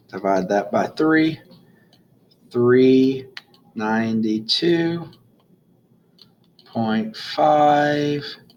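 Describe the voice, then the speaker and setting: Speaking at a very slow pace, a man with a medium pitch and ordinary pitch variation leaves long, frequent pauses. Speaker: math teacher. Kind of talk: recorded lesson tutorial. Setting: recording video notes alone.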